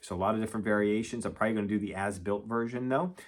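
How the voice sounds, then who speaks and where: A man's fairly low voice comes through on a very clean recording, the background silent. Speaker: model train YouTuber. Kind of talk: casual product review. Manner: fast.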